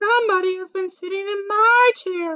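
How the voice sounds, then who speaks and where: Squeaky and pitched extremely high, this voice is a put-on character voice. Its pace is moderate. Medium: read story. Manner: prim, composed.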